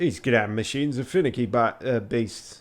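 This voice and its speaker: A man puts on a rumbling character voice with a strong Yorkshire accent. His pitch is medium and his pace moderate. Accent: thick Yorkshire. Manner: grumbling.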